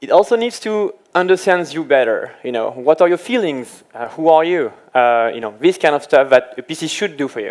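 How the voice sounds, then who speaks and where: Speaking with a French accent at a moderate pace, this man has a fairly high pitch, lively intonation, big swings in loudness and hardly any pauses. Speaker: application engineer. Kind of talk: tech presentation.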